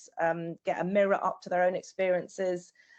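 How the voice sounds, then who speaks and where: Over a quiet background, a woman talks with a British accent. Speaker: artist and journaling facilitator. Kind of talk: presentation with slides. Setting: online video call. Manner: hesitant, many fillers.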